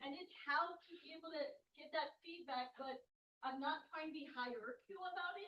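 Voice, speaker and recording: This woman's voice has an extremely high pitch, ordinary pitch variation, a moderate pace and big swings in loudness. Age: 30s. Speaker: audience member, student. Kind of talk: audience question.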